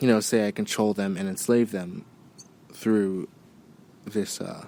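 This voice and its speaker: A man's dark, mellow tone, fairly low in pitch, with monotone, flat intonation. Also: fairly slow pace. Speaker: podcast host. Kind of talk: casual monologue.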